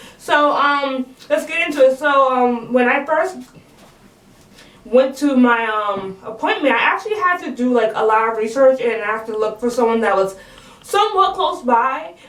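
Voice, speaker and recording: A woman with a high pitch and lively intonation speaks at a moderate pace. Noticeable background noise and audible room echo fill the recording. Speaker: vlogger. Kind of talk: casual vlog monologue. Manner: casual, many fillers like 'um' and 'like'.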